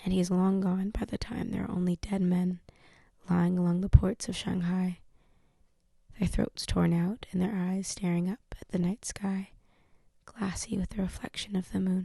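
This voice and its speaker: A soft-spoken woman whispers in a somewhat breathy voice at a moderate pace. She leaves long, frequent pauses. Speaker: ASMR channel host, book reader. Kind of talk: ASMR audiobook reading, whispered and soft-spoken. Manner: whispered, soft-spoken.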